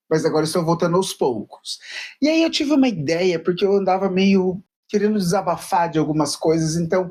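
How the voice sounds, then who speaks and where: High-pitched male voice at a fairly quick pace, with ordinary pitch variation and very even loudness. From Paraná, southern Brazil. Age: 30s. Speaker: YouTuber, journalism student. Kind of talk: casual vlog monologue.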